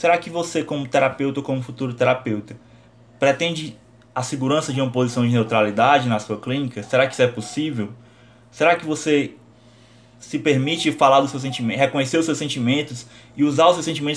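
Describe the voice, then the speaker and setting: A man talks at a very fast pace, his pitch fairly high and its variation ordinary. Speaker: psychology teacher. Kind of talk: lecture.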